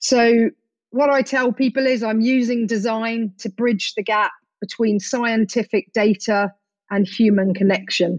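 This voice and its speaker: The speaker uses a plain, everyday voice at a fairly slow pace. Intonation stays fairly even, and the sound is dry and close with no echo. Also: woman, fairly high pitch for a woman. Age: 40s. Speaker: adventurer and conservation charity founder. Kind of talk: interview.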